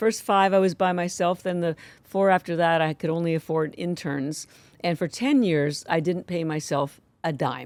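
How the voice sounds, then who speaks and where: At a moderate pace, a woman talks in a fairly low pitch with ordinary pitch variation, the sound dry and close with no echo on a very clean recording with a silent background. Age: 60s. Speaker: company founder. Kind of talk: interview conversation. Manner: animated.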